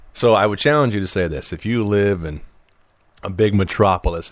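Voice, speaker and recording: This man speaks at a fairly quick clip in a very deep, low voice, sounding animated, with ordinary pitch variation and a Midwestern US accent. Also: very clean recording, silent background. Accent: northern US (Midwest). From Illinois. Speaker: podcast host. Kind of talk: casual chat. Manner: fast.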